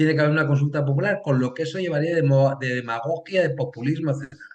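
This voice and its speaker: A man's fairly high voice, very fast and somewhat breathy, with ordinary pitch variation. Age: 60s. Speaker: political science professor. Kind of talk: interview. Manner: hesitant, many fillers.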